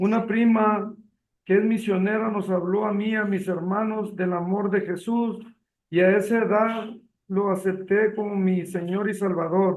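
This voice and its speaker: A man's high-pitched voice, monotone and flat in intonation, with audible room echo. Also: fairly slow pace. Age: 60s. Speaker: retired accountant. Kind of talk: testimony reading aloud.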